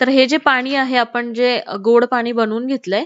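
A woman is speaking. Her pitch is high. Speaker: cooking channel host. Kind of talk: cooking tutorial. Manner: quieter than usual.

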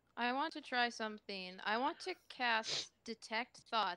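Fairly high in pitch, a woman's voice has a bright, sharp tone and a dry sound with no echo. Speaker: player. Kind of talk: casual game banter. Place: home room.

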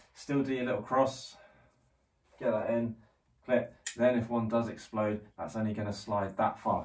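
A man with a plain, everyday voice keeps a moderate pace, his intonation fairly even. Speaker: climbing instructor. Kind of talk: tutorial. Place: home room. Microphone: camera far.

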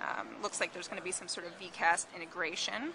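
A woman talks at a fairly quick pace. Noticeable background noise runs beneath her. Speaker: tech reviewer. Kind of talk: product demo commentary. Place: cafe. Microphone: phone near.

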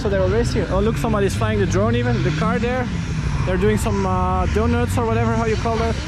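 Very fast speech comes through a dry sound with no echo over loud background noise. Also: man. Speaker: travel vlogger. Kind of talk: casual vlog chat. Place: open country. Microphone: phone near.

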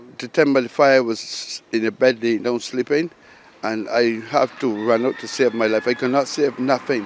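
With noticeable background noise, a man in a Barbadian accent talks at a moderate pace with a medium pitch and fairly even intonation. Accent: Barbadian (Bajan). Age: 60s. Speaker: fire victim. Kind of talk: news interview.

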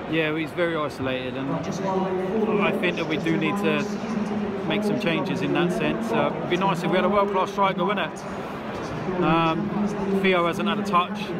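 At a moderate pace, a man speaks while loud background noise fills the recording. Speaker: football fan vlogger. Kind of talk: casual vlog commentary. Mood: calm, mildly frustrated. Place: stadium. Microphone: phone near.

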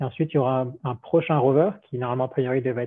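Recorded dry with no echo against a quiet background, a man speaks at medium pitch with fairly even intonation. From France. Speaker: robotics engineer; presenter. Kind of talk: technical presentation. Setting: video call. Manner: halting, many repetitions. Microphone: video call.

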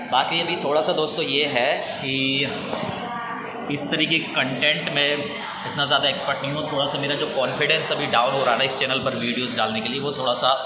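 A man speaks at a moderate pace. There is loud background noise. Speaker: travel vlogger. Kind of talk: casual vlog chat. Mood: reflective, slightly unsure. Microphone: phone near.

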